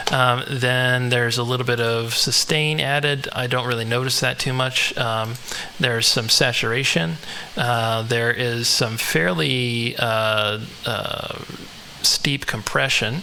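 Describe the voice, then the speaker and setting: A man at medium pitch with ordinary pitch variation and a fairly slow pace, audible room echo and noticeable background noise. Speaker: music producer. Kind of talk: tutorial. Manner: halting.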